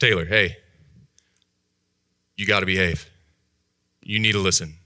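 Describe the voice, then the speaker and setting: A man's put-on character voice, raspy and very deep in pitch, at a moderate pace with fairly even intonation. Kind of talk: scolding. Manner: stern.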